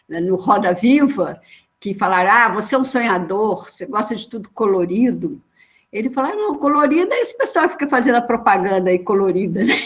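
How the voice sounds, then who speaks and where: A woman's somewhat breathy, fairly high voice at a fairly quick pace with lively intonation. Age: 60s. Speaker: social worker. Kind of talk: panel discussion. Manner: animated.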